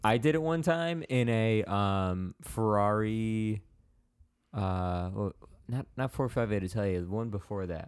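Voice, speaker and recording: A man with an American accent talks at a fairly slow pace in a normal speaking voice, his fairly low pitch carried by lively intonation on a very clean recording with a silent background. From Chicago area, US Midwest. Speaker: church podcast host. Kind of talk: casual chat.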